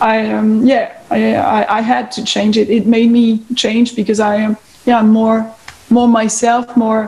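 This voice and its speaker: Noticeable background noise sits behind a woman with a fairly high pitch. She talks at a fairly slow pace with monotone, flat intonation. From France. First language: French. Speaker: guitarist. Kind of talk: interview. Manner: halting.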